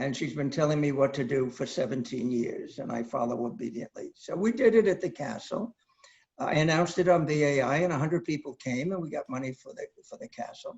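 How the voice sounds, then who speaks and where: Somewhat breathy and fairly high in pitch, a man speaks at a fairly quick pace with lively intonation and big swings in loudness. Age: 80s+. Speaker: storyteller performing solo show. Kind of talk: solo theater monologue. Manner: halting.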